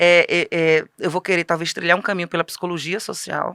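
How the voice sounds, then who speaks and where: A woman's fairly low voice with a bright, sharp tone and a dry, close sound with no echo. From Northeast Brazil. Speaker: author, teacher and women's ministry speaker. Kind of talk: interview. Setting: studio.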